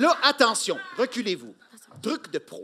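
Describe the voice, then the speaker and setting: Over light background noise, a man uses a raised, projected voice at a fairly slow pace. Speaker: comic actor in a staged reading. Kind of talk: theatrical comedic performance. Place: stage. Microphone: studio mic.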